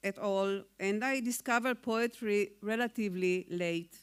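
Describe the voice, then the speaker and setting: In a very clean recording with a silent background, a woman speaks with an Israeli accent. Her pitch is fairly high and her pace very slow. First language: Hebrew. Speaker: poet. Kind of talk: award acceptance speech. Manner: formal.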